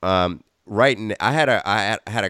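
A man with lively intonation. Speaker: podcast host. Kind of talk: interview.

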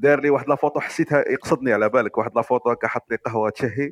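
A man with an unremarkable speaking voice talks fairly quickly at a fairly high pitch. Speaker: listener. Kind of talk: casual chat.

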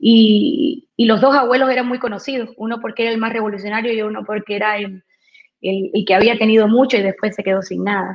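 A woman's fairly high voice with ordinary pitch variation, a normal speaking voice. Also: fairly quick pace. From Cuba. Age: 40s. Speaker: radio personality and insurance saleswoman. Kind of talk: interview. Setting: video call from home.

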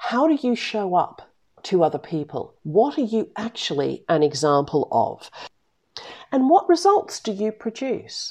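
A woman's fairly high, dark, mellow voice with an Australian accent, at a fairly slow pace, with very wide pitch swings. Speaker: business coach and podcast host. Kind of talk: solo podcast monologue. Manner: direct, blunt.

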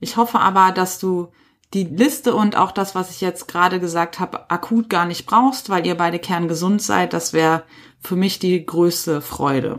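On a very clean recording with a silent background, a woman with a plain, everyday voice speaks at medium pitch and a moderate pace with ordinary pitch variation. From Ruhr area, Germany. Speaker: podcast host, trainee animal physiotherapist. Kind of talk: solo educational podcast.

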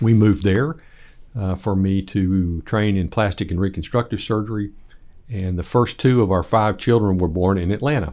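A man talks with a dark, mellow tone at fairly low pitch and ordinary pitch variation. The recording is very clean, with a silent background. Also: moderate pace. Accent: West Texas. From Lubbock, Texas. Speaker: plastic surgeon and church elder. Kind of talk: interview. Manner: halting.

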